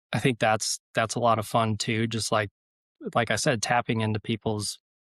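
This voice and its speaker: A man with an American accent, medium pitch, and a calm tone, his intonation monotone and flat, in a dry, close recording with no echo. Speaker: rally driving instructor and motorsport marketing manager. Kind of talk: podcast interview.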